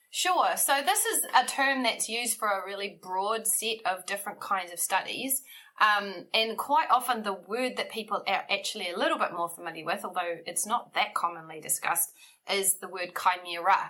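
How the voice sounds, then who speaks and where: With a New Zealand accent, a woman talks in lively intonation. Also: medium pitch for a woman, moderate pace. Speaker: bioethics researcher. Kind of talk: interview. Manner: frequent ums, thoughtful pauses.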